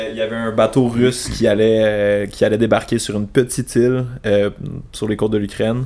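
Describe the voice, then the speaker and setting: He speaks at a moderate pace in a medium pitch for a man. His intonation stays monotone and flat. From Quebec, Sherbrooke. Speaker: international affairs professional. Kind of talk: casual chat.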